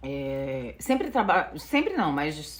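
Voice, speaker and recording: A woman speaks with a strong northeastern Brazilian accent, her pitch swinging very widely. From Northeast Brazil, Natal, Rio Grande do Norte. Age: 40s. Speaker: vlogger. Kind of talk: casual vlog storytelling. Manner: many filler sounds, unedited.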